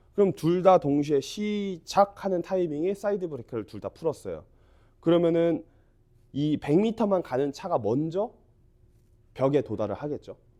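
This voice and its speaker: With a dark, mellow tone yet a high pitch, a man speaks at a moderate pace with lively intonation and long, frequent pauses. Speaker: golf instructor. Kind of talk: tutorial.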